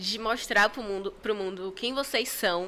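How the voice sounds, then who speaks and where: A woman speaks at a fairly slow pace with ordinary pitch variation. Her tone is bright, sharp and animated. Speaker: costume character performer and event entrepreneur. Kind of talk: casual chat.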